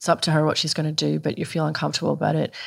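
The recording is very clean and the background silent. In it, a woman talks with a very deep, low pitch. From Scotland. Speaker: journalist and author. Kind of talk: casual chat. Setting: in the host's kitchen.

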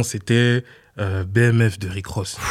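Monotone, flat intonation in a man's fairly low-pitched voice. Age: 20s. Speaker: music producer. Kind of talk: interview.

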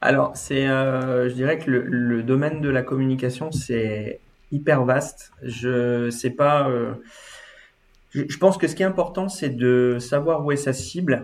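Very slow, medium-pitched male speech with normal rises and falls in pitch. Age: 30s. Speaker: interior design agency owner. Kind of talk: interview.

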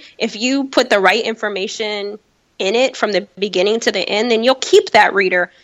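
A woman with an American accent and an ordinary speaking voice talks at a moderate pace and fairly high pitch, keeping her intonation fairly even. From Chicago. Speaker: founder of a women's career organization. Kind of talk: interview.

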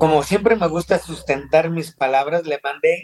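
The man's pitch varies in an ordinary way while he talks at a fairly slow pace. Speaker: dental implant surgeon. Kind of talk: interview. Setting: video call.

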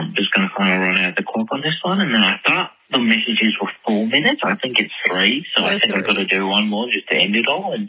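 A man with an American accent at medium pitch, fairly quick and lively in intonation, over noticeable background noise. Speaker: caller leaving voicemail messages for a podcast. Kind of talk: casual, chatty. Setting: phone voicemail.

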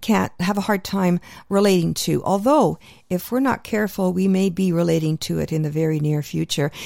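In a very clean recording with a silent background, a woman speaks in a dark, mellow tone with a Canadian accent. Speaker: radio host. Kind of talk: radio show hosting. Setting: radio studio.

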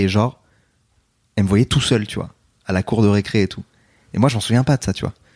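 Speech from a man comes very fast, fairly low in pitch with ordinary pitch variation. The recording is very clean and the background silent. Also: dry, close sound with no echo. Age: 30s. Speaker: philosophy youtuber. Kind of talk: interview.

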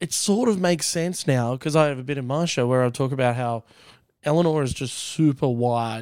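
Speech moves at a moderate pace with ordinary pitch variation and an Australian accent. The recording is very clean, with a silent background. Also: man. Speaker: comedian. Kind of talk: casual chat.

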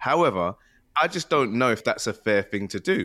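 Talking at a fairly quick pace, a man with a plain, everyday voice and a fairly low pitch is heard on a very clean recording with a silent background. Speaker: guest. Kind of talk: casual chat.

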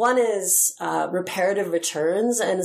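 A woman with an ordinary speaking voice talks at a fairly low pitch with lively intonation. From Utah. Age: 50s. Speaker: poet and activist. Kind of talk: casual chat.

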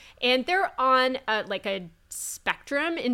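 In a very clean recording with a silent background, a woman with a bright, sharp tone speaks at a very slow pace with lively intonation. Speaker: dietitian. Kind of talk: casual chat. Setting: in person, recorded at an expo.

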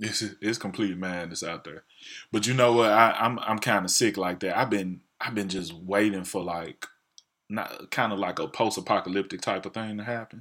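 A man with a Southern US accent, a bright, sharp tone and fairly low pitch, ordinary pitch variation and a moderate pace, on a very clean recording with a silent background. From US South. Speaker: podcast co-host. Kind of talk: casual chat.

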